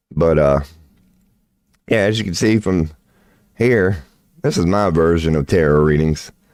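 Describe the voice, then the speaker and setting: With an American accent, the speaker talks at a fairly slow pace and leaves long, frequent pauses. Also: man, very deep, low pitch for a man, ordinary pitch variation. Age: 40s. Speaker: tarot reader and livestreamer. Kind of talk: casual livestream chat. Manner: animated. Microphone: sometimes poor mic.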